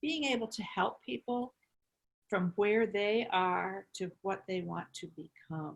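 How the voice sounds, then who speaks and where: A woman talks at a very slow pace. Her tone is calm. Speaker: cancer survivor and holistic cancer coach. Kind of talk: interview.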